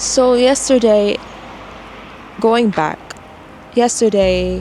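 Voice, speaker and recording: A soft-spoken woman at a very slow pace, fairly high in pitch, with ordinary pitch variation and noticeable background noise. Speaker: author vlogger. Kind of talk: casual vlog monologue. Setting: filming alone to camera. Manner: mellow, soft-spoken.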